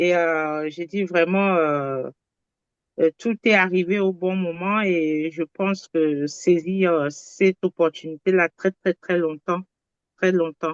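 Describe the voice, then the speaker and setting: A woman with a fairly low voice speaks very slowly and with fairly even intonation, in a dry, close sound with no echo. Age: 60s. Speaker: testimonial giver, medico-social worker. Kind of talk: testimony. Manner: halting, repetitive.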